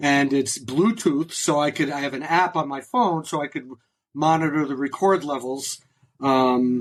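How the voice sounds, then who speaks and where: A man with a normal speaking voice, fairly high in pitch, with ordinary pitch variation and a fairly slow pace. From New England, New Haven Connecticut area. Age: 60s. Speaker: concert taper, music fan. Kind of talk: casual interview.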